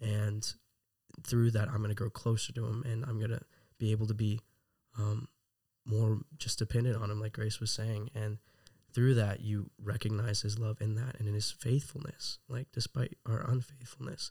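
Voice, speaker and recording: With an American accent, a man speaks in a dark, mellow, somewhat breathy tone. His intonation stays fairly even, and the sound is dry and close with no echo. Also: medium pitch for a man, moderate pace. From Texas. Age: 20s. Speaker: Bible school student. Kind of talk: interview.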